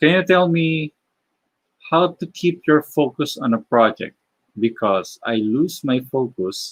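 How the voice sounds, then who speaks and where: At a very slow pace, a man with a Filipino accent speaks with lively intonation in a dry, close sound with no echo. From Philippines. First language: Tagalog. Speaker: animator and illustrator live streamer. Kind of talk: live stream Q&A while drawing. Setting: live stream. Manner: halting, many fillers.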